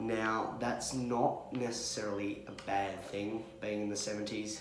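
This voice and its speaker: A man talks quietly and fairly slowly at a fairly low pitch, with audible room echo and noticeable background noise. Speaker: vlogger with cystic fibrosis. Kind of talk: candid vlog. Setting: hospital room. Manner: quiet, subdued.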